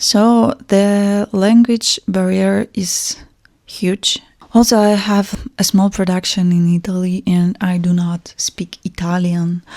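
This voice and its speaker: Very slow speech in a Russian accent, with ordinary pitch variation and a somewhat breathy, dark, mellow tone. The sound is dry and close, with no echo. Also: woman. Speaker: fashion brand founder. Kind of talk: personal vlog monologue. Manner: hesitant, with fillers.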